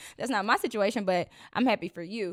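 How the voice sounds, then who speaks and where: The speaker is a woman with a fairly high pitch. The recording is very clean with a silent background. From Arkansas, US South. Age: 20s. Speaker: podcast host. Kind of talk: casual personal talk monologue. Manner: conversational, with many fillers.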